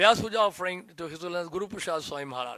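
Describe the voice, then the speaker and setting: A high-pitched man's voice with an Indian accent, bright and sharp in tone, very fast, with ordinary pitch variation. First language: Hindi. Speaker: disciple giving a tribute. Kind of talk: reading aloud a prepared tribute; devotional speech.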